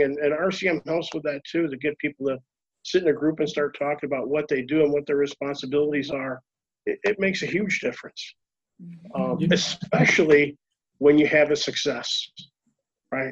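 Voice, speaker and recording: With an ordinary speaking voice, a man talks at a moderate pace in a fairly high pitch and fairly even intonation, the sound dry and close with no echo. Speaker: reliability consultant. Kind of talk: panel discussion, live webinar Q&A. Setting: video call webinar.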